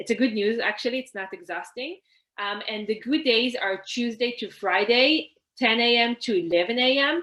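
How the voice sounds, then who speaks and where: A woman with an Israeli accent talks at a fairly high pitch with ordinary pitch variation. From Israel, Haifa. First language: Hebrew. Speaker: networking coach, workshop presenter. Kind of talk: online workshop presentation. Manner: conversational, frequent fillers.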